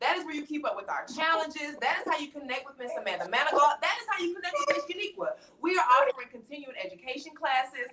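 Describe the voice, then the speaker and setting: An animated woman with a Southern US accent, very fast with hardly any pauses, high and bright, sharp in tone, raised and projected, with very wide pitch swings and big swings in loudness. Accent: Southern country twang. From US South, Atlanta. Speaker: talk show host. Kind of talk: live-stream panel chat. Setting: live stream.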